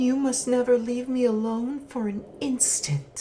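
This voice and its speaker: In a put-on character voice that sounds female, someone whispers shakily at a fairly slow pace. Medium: read story. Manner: whispering, shaky.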